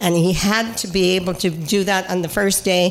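A medium-pitched woman at a moderate pace with fairly even intonation, audible room echo and noticeable background noise. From Cape Breton, Nova Scotia. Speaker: regional councillor. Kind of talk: casual chat.

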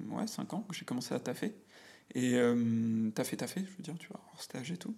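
Moderately paced, a man speaks at medium pitch. His intonation is lively. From France, Auvergne (near Clermont-Ferrand). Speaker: business manager and podcaster. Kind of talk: casual chat. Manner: halting, many fillers and repetitions. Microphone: echoey, cavernous room sound.

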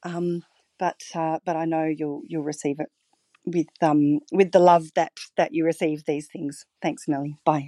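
A woman speaks at a fairly slow pace with a very deep, low pitch and a monotone, flat intonation. The tone is dark and mellow, and the sound is dry and close with no echo. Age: 40s. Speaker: listener caller. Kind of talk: voicemail message. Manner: halting, many fillers.

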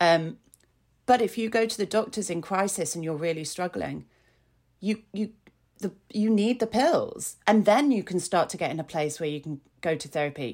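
Speaking at a moderate pace in a Yorkshire accent, a woman uses lively intonation in a very clean recording with a silent background. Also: medium pitch for a woman. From Yorkshire, northern England. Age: 40s. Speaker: blogger and mental health advocate. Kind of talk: casual interview chat. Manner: halting, many fillers.

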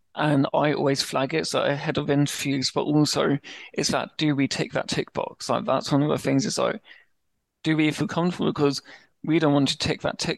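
With a British accent and a fairly high pitch, a man talks at a fairly quick pace in fairly even intonation, the sound dry and close with no echo against a quiet background. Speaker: stammering awareness advocate. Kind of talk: interview.

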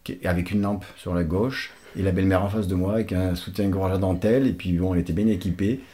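A man with a very deep, low pitch and a dark, mellow tone talks at a fairly quick pace, his loudness very even and his intonation fairly even. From Portugal. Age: 50s. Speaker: father of the host, public transport worker. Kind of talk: casual chat.

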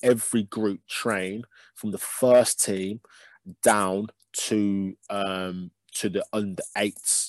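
A man with a Birmingham accent talks at a fairly low pitch with fairly even intonation, recorded dry and close with no echo. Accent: Birmingham (Brummie) English. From Birmingham, England. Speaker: youth football coach. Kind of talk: casual interview.

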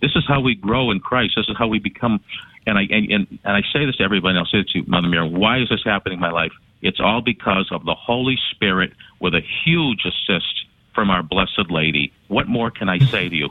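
A man's unremarkable speaking voice, fairly low-pitched, with ordinary pitch variation and a fairly quick pace. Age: 60s. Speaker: caller. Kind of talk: call-in conversation.

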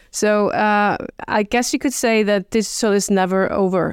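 An Icelandic accent at a fairly slow pace, dry and close with no echo, on a very clean recording with a silent background. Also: woman. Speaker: government marketing officer. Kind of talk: interview. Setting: in a room in Reykjavik. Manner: halting.

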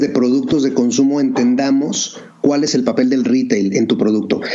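With lively intonation and a fairly high pitch, a man keeps a moderate pace while noticeable background noise and audible room echo surround him. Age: 40s. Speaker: entrepreneur, bottled water company founder. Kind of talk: interview.

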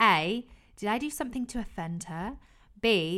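Speaking at a moderate pace, a woman uses lively intonation in an unremarkable speaking voice. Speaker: podcast co-host. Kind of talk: casual chat.

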